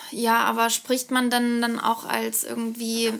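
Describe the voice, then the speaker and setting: Very slow speech from a woman, fairly high in pitch. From Karlsruhe, southwest Germany. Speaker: podcast co-host. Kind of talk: casual chat.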